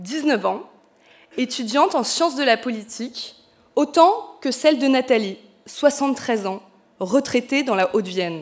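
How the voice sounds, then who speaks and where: A woman's high-pitched voice at a fairly slow pace, with long, frequent pauses. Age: 30s. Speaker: political candidate. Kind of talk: political speech.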